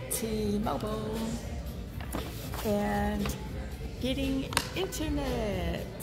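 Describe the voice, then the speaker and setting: A woman is speaking while clear music plays in the background. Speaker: vlogger. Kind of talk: casual vlog chat. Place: shop. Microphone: earbuds.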